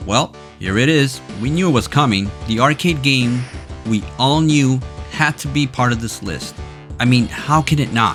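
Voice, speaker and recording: Music sits behind a man speaking at a moderate pace. His medium-pitched voice moves through very wide pitch swings. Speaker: gaming history video narrator. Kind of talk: video game history narration.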